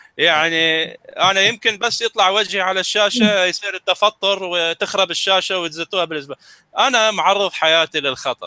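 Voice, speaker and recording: A man talks at a moderate pace in a high pitch with ordinary pitch variation. His tone is bright and sharp, and the sound is dry and close with no echo. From Middle East. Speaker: science presenter. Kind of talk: casual educational talk.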